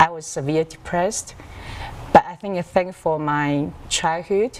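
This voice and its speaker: A woman with a Chinese accent speaks at a fairly slow pace with a fairly low pitch and ordinary pitch variation. There is noticeable background noise. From Taiwan, Taipei. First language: Mandarin Chinese. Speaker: author. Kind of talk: TV interview. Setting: video call.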